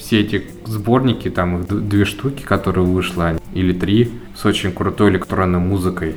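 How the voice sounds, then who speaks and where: A man's very deep, low voice in a calm tone, fairly even in intonation, with music in the background. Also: moderate pace. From Volzhsky, Volgograd region, Russia. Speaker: netlabel founder, music curator. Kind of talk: interview.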